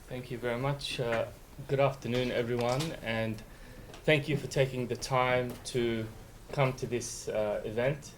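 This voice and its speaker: In an Australian accent, a man speaks fairly slowly with monotone, flat intonation. Audible room echo surrounds his voice. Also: medium pitch for a man. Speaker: law professor. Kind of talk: lecture.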